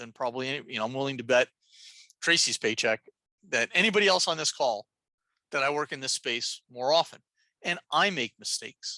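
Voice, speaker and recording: In a dry, close recording with no echo, a woman with a very deep, low pitch and a bright, sharp tone speaks at a moderate pace, her intonation lively and broken by long, frequent pauses. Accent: New Jersey. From New Jersey, Jersey City. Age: old. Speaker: nurse and transgender health educator. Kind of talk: lecture. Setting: video call. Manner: animated.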